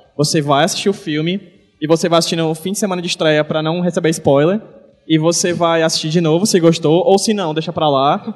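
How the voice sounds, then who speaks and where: This man's voice is high in pitch, with ordinary variation, and moves at a fairly quick pace. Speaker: podcast host and comics-writing teacher. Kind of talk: live panel talk at event. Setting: stage with audience in a shopping mall.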